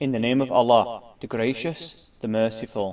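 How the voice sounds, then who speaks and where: On a very clean recording with a silent background, a man speaks at a moderate pace with a medium pitch. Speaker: scripture reciter. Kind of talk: scripture reading.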